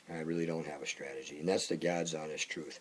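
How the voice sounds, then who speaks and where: A man's voice over noticeable background noise. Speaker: singer-songwriter. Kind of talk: casual monologue. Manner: halting.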